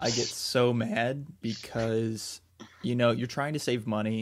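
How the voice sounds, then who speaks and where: In a very clean recording with a silent background, a man speaks at a medium pitch. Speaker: magician podcast co-host. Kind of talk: casual chat. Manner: low-key; flat, subdued delivery.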